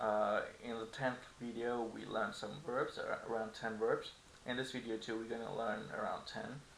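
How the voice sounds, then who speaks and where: Fairly slow male speech in audible room echo. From Turkey. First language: Turkish. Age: 20s. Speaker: language teacher. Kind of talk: tutorial. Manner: casual.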